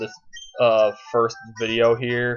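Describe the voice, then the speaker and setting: Music plays in the background as a man speaks. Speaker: let's play gamer. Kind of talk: gameplay commentary. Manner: fast, slurring words together; halting, many false starts.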